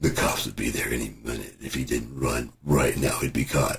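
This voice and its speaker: Putting on a raspy character voice, a man speaks at a moderate pace with very deep, low pitch and monotone, flat intonation. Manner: tense, dramatic.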